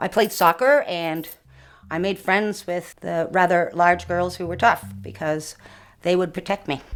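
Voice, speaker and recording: Music plays in the background. A woman with a fairly low pitch speaks with ordinary pitch variation. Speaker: actor. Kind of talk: interview. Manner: fast.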